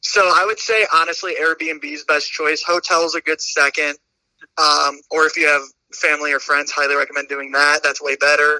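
A man with an American accent speaks at a moderate pace in a bright, sharp tone, his fairly high pitch monotone and flat, in a dry, close sound with no echo. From US Midwest, Indiana / Chicago area. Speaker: podcast guest, student. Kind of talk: casual chat.

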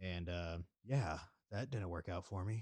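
A man speaking at a moderate pace against a quiet background. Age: 30s. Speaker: podcast host. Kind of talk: casual solo chat. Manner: animated.

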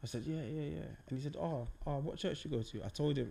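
Speaking with a South London accent, a man uses a fairly high pitch and a dark, mellow tone at a fairly quick pace. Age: 30s. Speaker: podcast host. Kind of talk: casual chat.

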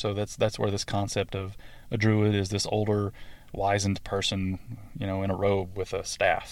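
Over a very clean recording with a silent background, a man with a Southern US accent speaks at a moderate pace. His fairly low pitch stays in a monotone, flat intonation. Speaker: podcast host. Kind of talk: scripted-style solo talk about druidry, educational monologue. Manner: hesitant, filler words, conversational.

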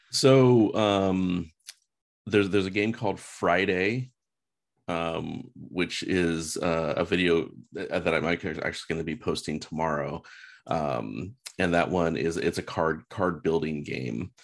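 A man with a very deep, low pitch speaks at a fairly slow pace, his voice showing vocal fry. His intonation is lively. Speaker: real estate agent. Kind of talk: casual chat.

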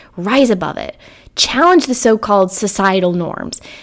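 At a moderate pace, the clip presents an unremarkable speaking voice. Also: woman. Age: 30s. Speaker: podcast host and neuroscientist. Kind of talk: solo monologue. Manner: casual, with frequent repetitions.

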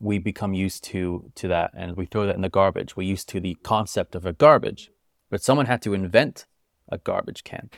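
Speaking in a plain, everyday voice with a General American accent, a man talks fairly quickly at a fairly low pitch with ordinary variation, recorded dry and close with no echo in a very clean recording with a silent background. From US.

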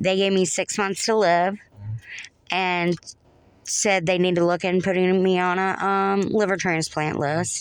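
A woman with a Southern US accent speaks at a fairly slow pace and a medium pitch, her intonation monotone and flat. Her loudness stays very even over a quiet background. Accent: Southern American. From North Florida. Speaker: podcast guest, Navy veteran. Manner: conversational storyteller.

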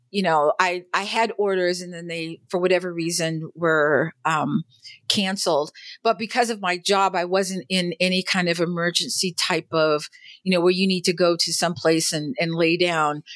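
This woman has an ordinary speaking voice, pitched fairly low and delivered at a moderate pace. The recording is very clean, with a silent background. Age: middle-aged. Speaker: military veteran. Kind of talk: interview.

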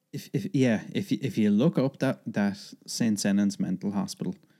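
A man speaks with an Irish accent in a fairly low pitch, his tone dark and mellow. The recording is very clean, with a silent background. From Ireland. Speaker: podcast guest. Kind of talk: reading aloud; casual chat.

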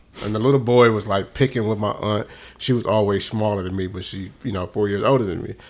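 A man with a fairly low-pitched voice rushes through his words very quickly. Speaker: podcast co-host. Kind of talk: casual chat. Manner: loud; animated.

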